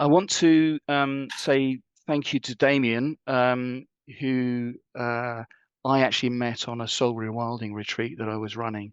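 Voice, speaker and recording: The speaker has a southern English accent and fairly even intonation. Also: man. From southern England, Wiltshire. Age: 60s. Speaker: leadership coach and retreat facilitator. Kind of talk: talk.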